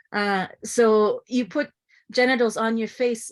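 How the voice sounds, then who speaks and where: Here a woman speaks at a fairly slow pace. The recording is very clean, with a silent background. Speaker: artist and performer. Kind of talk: panel discussion. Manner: halting, many fillers.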